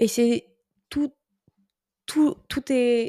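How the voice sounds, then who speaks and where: Recorded very cleanly against a silent background, a woman's dark, mellow voice has ordinary pitch variation and a dry, close sound with no echo. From France. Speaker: podcaster. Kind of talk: casual monologue. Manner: animated.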